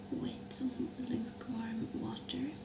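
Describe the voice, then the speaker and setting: A soft-spoken woman at a very slow pace, with noticeable background noise. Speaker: ASMR creator. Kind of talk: ASMR skincare routine chat.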